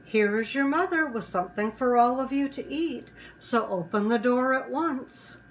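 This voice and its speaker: In a gruff, put-on character voice, a woman speaks at a high pitch and a moderate pace. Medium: read story. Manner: wheedling, deceitful.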